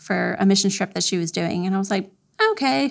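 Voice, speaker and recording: A woman speaks with an American accent in an unremarkable speaking voice at medium pitch. Her pace is fairly quick. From Florida. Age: 40s. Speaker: triathlete. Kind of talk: interview.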